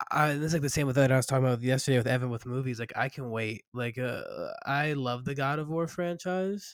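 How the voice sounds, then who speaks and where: At a fairly quick pace with hardly any pauses, a man speaks in an unremarkable speaking voice at medium pitch with ordinary pitch variation. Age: 20s. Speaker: podcaster and gamer. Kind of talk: casual chat. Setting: at work.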